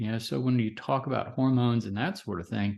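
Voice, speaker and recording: The man's voice sits at medium pitch with ordinary pitch variation. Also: quiet background. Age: 60s. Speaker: physician. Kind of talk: interview. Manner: halting.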